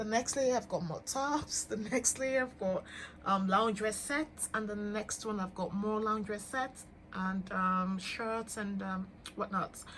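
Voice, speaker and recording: This woman's voice sits fairly high in pitch with ordinary pitch variation. She speaks at a fairly slow pace. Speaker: fashion influencer. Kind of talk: closet tour vlog. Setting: home closet room. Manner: hesitant fillers.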